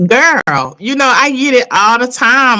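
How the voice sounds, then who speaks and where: The woman's tone is bright and sharp. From Chicago, US. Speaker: vlogger. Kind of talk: casual chat. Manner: passionate, sometimes elevated.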